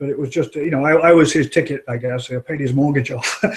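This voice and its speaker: A man with a strong British accent talks at a moderate pace. His pitch is fairly high, with ordinary variation. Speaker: executive recruiter, firm owner. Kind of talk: interview. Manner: halting, many fillers.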